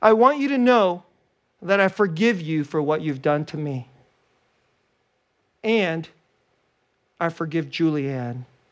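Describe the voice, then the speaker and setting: In a put-on character voice at a middle pitch, the speaker sounds strained and shaky, talking fairly slowly with long, frequent pauses on a very clean recording with a silent background. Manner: forced forgiveness.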